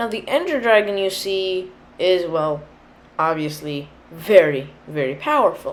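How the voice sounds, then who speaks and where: A woman speaks at a medium pitch and a fairly slow pace, her pitch swinging very widely. Room echo is audible. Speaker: gaming youtuber. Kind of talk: tutorial. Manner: casual, hesitant with fillers.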